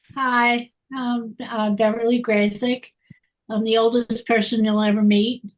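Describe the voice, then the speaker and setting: The speech comes at a fairly slow pace in a monotone, flat intonation. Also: woman, fairly high pitch for a woman. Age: 90s. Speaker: retired attorney. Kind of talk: casual introductions on a video call.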